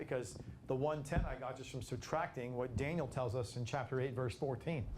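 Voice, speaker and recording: A man speaking at a fairly quick pace with fairly even intonation, in audible room echo. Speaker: Bible study teacher. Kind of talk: Bible study lecture. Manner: fast at times; halting, many repetitions.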